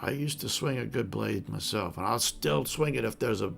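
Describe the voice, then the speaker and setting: Using a put-on character voice that is raspy and fairly low, a man speaks at a fairly quick pace over clear background noise. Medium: actual play. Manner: gruff, boastful.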